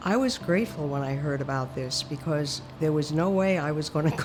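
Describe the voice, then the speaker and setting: A woman with an American accent, very deep and low in pitch, at a fairly quick pace with ordinary pitch variation, amid noticeable background noise. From New York. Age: 80s+. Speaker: heart patient. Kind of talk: testimony.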